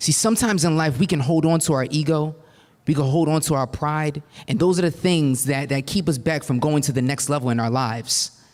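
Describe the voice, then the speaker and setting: A man's fairly high voice at a fairly quick pace, with ordinary pitch variation, very even loudness and a very clean recording against a silent background. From New Jersey. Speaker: motivational speaker. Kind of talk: keynote speech. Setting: stage with audience. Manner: animated.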